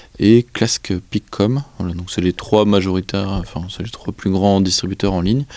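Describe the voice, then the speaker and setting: The speech goes at a fairly slow pace with fairly even intonation. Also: man. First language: Breton (speaking French). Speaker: association president, librarian. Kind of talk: interview. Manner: hesitant, many fillers.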